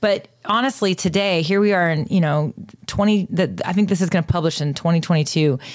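A woman speaks at a fairly quick pace in a fairly low pitch, with ordinary pitch variation. Her loudness stays very even, and she has a normal speaking voice. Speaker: co-host and podcaster. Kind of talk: casual interview.

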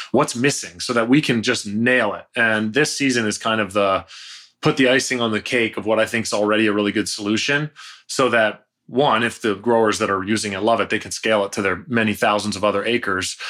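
A man with a Canadian accent talks at a fairly quick pace, his fairly low pitch carrying a bright, sharp tone and fairly even intonation. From Canada, near Toronto. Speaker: tech startup founder and CEO. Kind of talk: casual interview chat.

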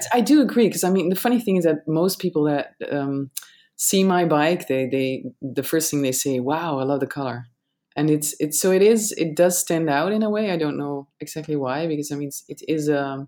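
A woman talks at a moderate pace in a Dutch accent, her very deep, low voice dark and mellow in tone with lively intonation. The recording is very clean, with a silent background. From Netherlands. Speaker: cycling content creator. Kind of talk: casual interview chat.

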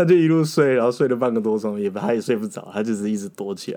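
This man talks at a very fast pace. His pitch is fairly low and his tone dark and mellow. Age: 30s. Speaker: former legislative aide. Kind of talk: casual interview chat.

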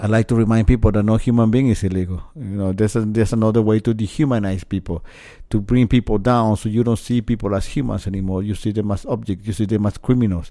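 With a dark, mellow tone and fairly low pitch, a man talks at a very fast pace using fairly even intonation. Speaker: storytelling show host. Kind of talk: casual chat.

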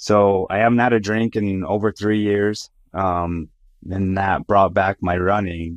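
A man's fairly low, fairly slow voice, dry and close with no echo, against a quiet background. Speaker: trucking recruiting and retention director. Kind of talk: casual interview. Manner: animated.

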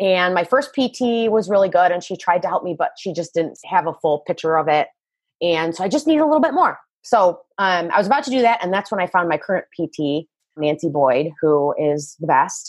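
Delivered at a fairly quick pace, a plain, everyday voice carries lively intonation. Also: woman, medium pitch for a woman. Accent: American. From Michigan. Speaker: fitness coach. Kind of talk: interview.

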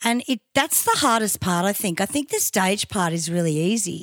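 On a very clean recording with a silent background, a woman speaks at a fairly slow pace with lively intonation. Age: 50s. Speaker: podcast host and tribute band singer. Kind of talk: casual chat. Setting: hotel room.

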